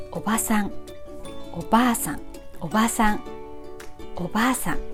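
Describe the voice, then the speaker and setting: A woman speaks with a Japanese accent and lively intonation. Music plays in the background. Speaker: Japanese language teacher. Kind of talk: language lesson to camera.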